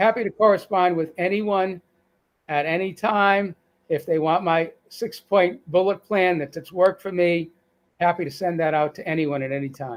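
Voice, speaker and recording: A man speaks in a Boston accent with a high pitch. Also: ordinary pitch variation, moderate pace. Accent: Boston accent, still present. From Boston, US. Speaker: cancer survivor sharing weight-loss story. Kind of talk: live-stream interview. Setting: online live stream. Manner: halting, frequent restarts.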